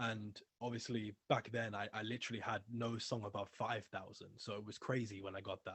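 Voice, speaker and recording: A man with a British accent talks at a fairly quick pace in a fairly low pitch, his intonation monotone and flat. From England. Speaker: music label owner and ex-rapper. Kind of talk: interview, casual chat.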